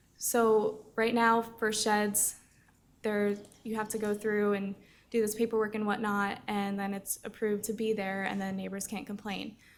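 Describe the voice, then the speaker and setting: At a fairly slow pace, a woman with a fairly high pitch speaks in a monotone, flat way. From New Jersey. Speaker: public commenter. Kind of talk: public comment.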